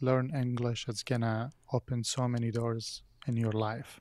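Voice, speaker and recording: At a moderate pace and medium pitch, a man with an Arabic accent talks in a very clean recording with a silent background and a dry, close sound with no echo. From Iraq (Baghdad). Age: 30s. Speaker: film and TV composer. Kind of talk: podcast interview.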